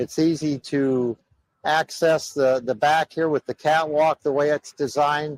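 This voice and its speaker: A man with an American accent talks at a fairly slow pace and a fairly high pitch. His intonation stays fairly even, and the sound is dry and close with no echo. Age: 60s. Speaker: truck driver. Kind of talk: walkaround tour of his truck. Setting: outdoors at a truck show.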